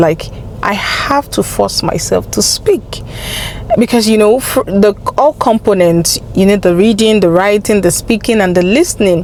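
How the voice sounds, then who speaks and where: Noticeable background noise lies beneath speech at a moderate pace with ordinary pitch variation. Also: woman. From Nigeria (Yoruba). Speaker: language-learning vlogger. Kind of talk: casual vlog advice.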